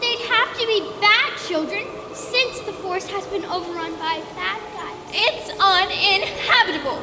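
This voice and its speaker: A put-on character voice of extremely high pitch at a moderate pace, with clear echo and loud background noise. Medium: stage play. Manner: cheeky, fiery.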